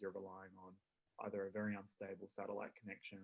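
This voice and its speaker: A soft-spoken man talks with an Australian accent. His pace is fairly quick. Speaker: consumer advocate. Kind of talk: panel discussion. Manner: halting. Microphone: too quiet, far from microphone.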